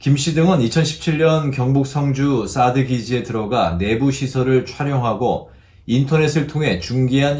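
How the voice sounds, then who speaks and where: The man's voice sits at medium pitch and sounds somewhat breathy. His intonation is lively. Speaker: news announcer. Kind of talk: TV news reading.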